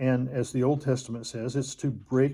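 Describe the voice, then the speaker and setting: Somewhat breathy and dark, mellow in tone, a man speaks at a medium pitch with fairly even intonation. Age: 70s. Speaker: bible teacher. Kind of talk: religious teaching monologue. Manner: halting, many fillers.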